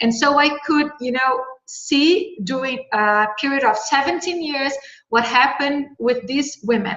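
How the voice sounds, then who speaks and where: In a Brazilian Portuguese accent, a woman speaks at a fairly slow pace. Her pitch is high. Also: lively intonation. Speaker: researcher. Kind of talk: panel discussion. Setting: video call. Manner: halting.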